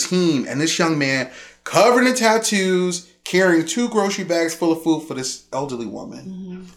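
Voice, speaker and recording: Over noticeable background noise, a man with an American accent talks at a fairly quick pace, his pitch swinging very widely. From Chicago, Roseland. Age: 40s. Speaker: violence prevention outreach manager. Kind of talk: casual interview chat. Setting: studio on a couch.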